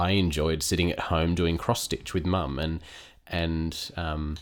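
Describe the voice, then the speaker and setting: A man with a very deep, low voice speaks in fairly even intonation on a very clean recording with a silent background. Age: 30s. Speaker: podcast co-host. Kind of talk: personal testimony.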